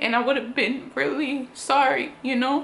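Light background noise sits behind a woman who speaks fairly slowly at a high pitch. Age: 20s. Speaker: YouTuber. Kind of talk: personal vlog testimony. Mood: earnest, serious, reflective. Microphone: phone near.

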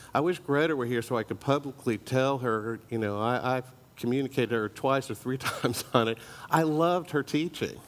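At a fairly quick pace, a man speaks with ordinary pitch variation. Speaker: church teacher. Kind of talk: sermon. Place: church.

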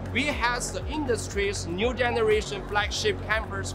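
Clear music plays behind a man's voice. He speaks at a fairly slow pace. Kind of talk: interview answer. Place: hall. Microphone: lapel.

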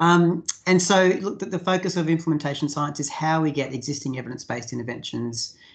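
Against a quiet background, the words come at a moderate pace. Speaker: presenter. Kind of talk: lecture. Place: home room. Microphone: video call.

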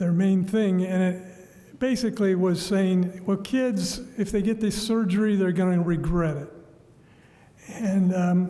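Pitched high, a man talks at a fairly slow pace with fairly even intonation. Noticeable background noise and audible room echo fill the recording. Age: 70s. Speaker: public commenter. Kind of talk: public comment. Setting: council chambers. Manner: halting.

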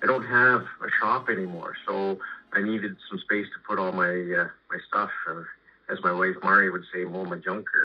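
Over faint background music, a man speaks at a moderate pace. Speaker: guest. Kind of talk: interview answer. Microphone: phone line.

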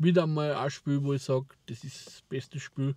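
With an Austrian accent, a man speaks in a somewhat breathy voice at a fairly slow pace. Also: quiet background, dry sound with no echo. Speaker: vlogger. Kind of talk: casual talk to camera. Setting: in a car. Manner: rambling, hesitant. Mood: relaxed, enthusiastic about games. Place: car. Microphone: lapel.

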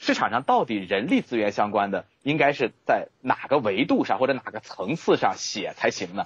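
A man with an unremarkable speaking voice talks at medium pitch and a moderate pace. His intonation is lively, with hardly any pauses. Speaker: author and HR expert. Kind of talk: interview.

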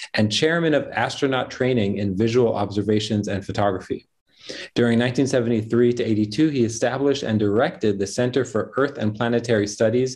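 A man talks at medium speed, his pitch moving in an ordinary way. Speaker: event host. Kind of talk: formal introduction of guest. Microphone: earbuds.

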